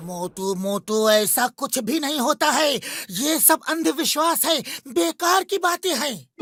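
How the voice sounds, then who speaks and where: In a cartoonish character voice, a man talks at a fairly slow pace with hardly any pauses. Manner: rational, friendly.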